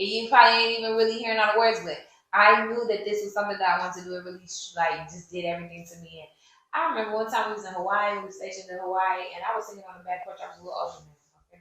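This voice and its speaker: The voice has an animated tone and a very fast pace, with big swings in loudness. Room echo is audible. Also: woman, medium pitch for a woman. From US military bases (Army family), moved around. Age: 30s. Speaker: podcast host and singer. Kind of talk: casual chat answering audience questions.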